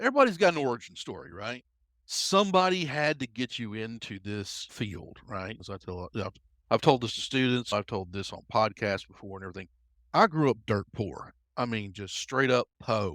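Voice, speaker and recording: In a Southern US accent, the speaker talks at a moderate pace with lively intonation and big swings in loudness, on a very clean recording with a silent background and a dry, close sound with no echo. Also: man, medium pitch for a man. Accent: Southern US, noticeable. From US Deep South. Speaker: cybersecurity expert. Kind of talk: podcast interview. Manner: loud, brash.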